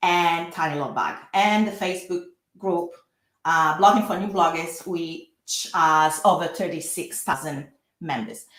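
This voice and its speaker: The speech carries a strong Italian accent. The pace is fairly slow and the intonation fairly even. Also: woman. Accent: thick Italian. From Italy. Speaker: lawyer. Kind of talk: webinar presentation. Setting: live online workshop. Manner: frequent hesitations.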